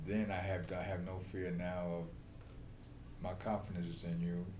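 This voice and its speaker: In an American accent, a man with a very deep, low pitch talks at a fairly slow pace amid audible room echo and noticeable background noise. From New York City. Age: 70s. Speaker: prostate cancer patient. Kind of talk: patient interview. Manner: halting.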